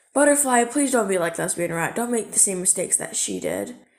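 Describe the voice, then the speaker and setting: Using a put-on character voice, a woman speaks raspy and fast-ish, at a fairly quick pace, with lively intonation and medium pitch. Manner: earnest, scolding.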